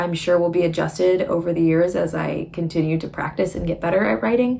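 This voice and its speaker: Noticeable background noise surrounds a woman's voice. She speaks at a fairly quick pace with a fairly low pitch. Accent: American. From Michigan, US Midwest. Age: 20s. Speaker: writer and vlogger. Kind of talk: casual vlog talk. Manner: chatty, informal.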